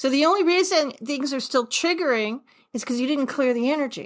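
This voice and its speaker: On a very clean recording with a silent background, a woman with an American accent speaks at a high pitch with lively intonation. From New York. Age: 60s. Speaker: author and forgiveness coach. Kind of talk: podcast interview. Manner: animated.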